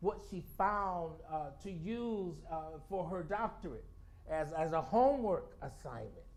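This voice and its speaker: A man's high voice at a fairly slow pace, with ordinary pitch variation and audible room echo. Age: 60s. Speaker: storyteller. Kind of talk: spoken-word talk to a congregation. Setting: spiritual center service with congregation. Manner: halting, with frequent repetitions and fillers.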